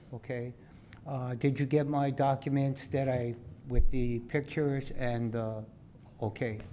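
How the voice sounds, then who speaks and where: A man's dark, mellow voice at a medium pitch, fairly slow and monotone, with flat intonation, long, frequent pauses and audible room echo. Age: 70s. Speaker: local resident. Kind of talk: public address at council meeting. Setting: council chamber podium. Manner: halting.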